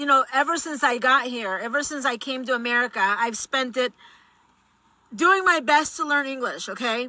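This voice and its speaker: A woman with a Spanish accent speaks at a high pitch with ordinary pitch variation. Her raised, projected voice has a bright, sharp tone. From Mexico. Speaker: political commentator. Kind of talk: vlog commentary.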